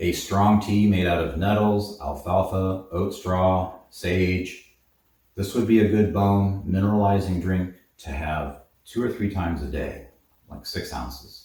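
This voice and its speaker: The voice is somewhat breathy with a dark, mellow tone, moving at a fairly slow pace with ordinary pitch variation. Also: man, very deep, low pitch for a man. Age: 80s+. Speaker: herbalist, supplement shop owner. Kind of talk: tutorial. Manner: casual, with filler words.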